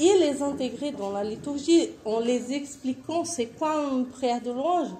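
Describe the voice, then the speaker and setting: In a Portuguese accent, a woman speaks at a very slow pace with lively intonation. Audible room echo surrounds her voice. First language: Portuguese (speaking French). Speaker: missionary. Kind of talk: conference presentation.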